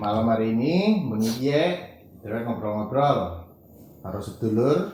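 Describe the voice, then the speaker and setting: At a fairly slow pace, a man speaks. He has a Central Javanese accent. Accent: Ngapak Javanese (Kebumen). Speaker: podcast host. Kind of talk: casual podcast conversation.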